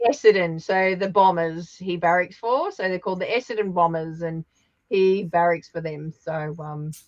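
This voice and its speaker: In an Australian accent, a woman speaks at a moderate pace and a fairly low pitch, with ordinary pitch variation. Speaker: papercraft demonstrator. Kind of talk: casual chat. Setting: live stream.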